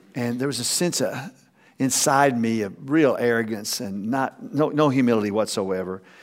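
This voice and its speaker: A man with an American accent, ordinary pitch variation, and audible room echo. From Texas. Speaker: pastor. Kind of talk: sermon. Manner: halting.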